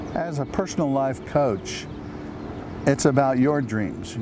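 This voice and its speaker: There is noticeable background noise behind this man's voice, and the room echo is audible. His pitch sits in the medium range. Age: 70s. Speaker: life coach and retired minister. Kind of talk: promotional self-introduction.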